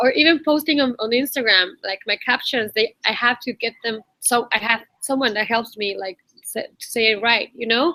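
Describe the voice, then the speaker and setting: A woman in a Spanish accent, fairly high in pitch, with a bright, sharp tone and a dry, close sound free of echo. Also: ordinary pitch variation, moderate pace. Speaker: online community host. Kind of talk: casual chat.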